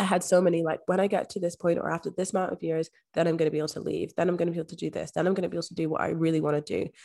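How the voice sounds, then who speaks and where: Her fairly low voice has vocal fry, and the woman speaks at a very fast pace in a monotone, flat intonation. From Scotland. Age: 20s. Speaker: manifestation coach. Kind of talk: casual interview chat.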